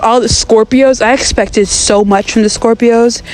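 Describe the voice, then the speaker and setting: The voice sounds animated, with ordinary pitch variation, against noticeable background noise. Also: woman. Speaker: gaming vlogger. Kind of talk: casual gameplay commentary. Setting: outdoors. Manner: fast.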